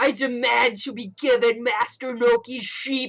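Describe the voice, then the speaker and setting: A woman puts on a character voice at a high pitch, speaking at a moderate pace. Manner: demanding, gruff.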